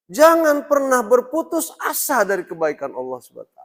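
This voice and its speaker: This man's pitch swings very widely as he speaks. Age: 60s. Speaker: Islamic preacher. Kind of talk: religious lecture. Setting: mosque. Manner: halting.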